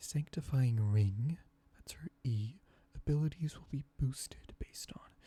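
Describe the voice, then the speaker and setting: A soft-spoken, somewhat breathy voice in a relaxed, dark, mellow tone, at a fairly slow pace with big swings in loudness. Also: man. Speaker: ASMR creator. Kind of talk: ASMR gaming commentary. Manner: soft-spoken, relaxed.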